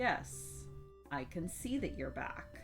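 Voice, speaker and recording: Someone speaks in a put-on character voice. Music plays clearly in the background. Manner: stern, grandmotherly.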